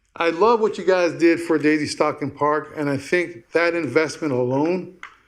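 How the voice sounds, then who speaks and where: Speaking at a fairly slow pace, a man with a fairly high pitch is heard against audible room echo. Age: 60s. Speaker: business owner presenting a proposal. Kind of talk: public comment at council meeting. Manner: halting.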